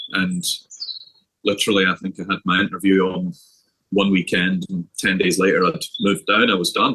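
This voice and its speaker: Pausing long and often, a man with a Scottish accent speaks at a moderate pace, the sound dry and close with no echo. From Scotland. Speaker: golf coach. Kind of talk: interview.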